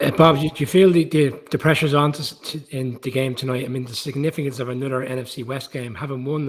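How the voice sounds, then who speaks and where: In an Irish accent, the speaker goes at a very fast pace, somewhat breathy, with fairly even intonation. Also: man. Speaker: football pundit. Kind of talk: casual chat.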